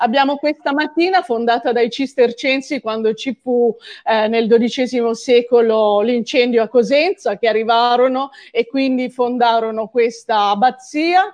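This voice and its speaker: A woman's high-pitched voice with ordinary pitch variation, against a quiet background. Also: fairly slow pace. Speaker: writer and archaeologist. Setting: video call.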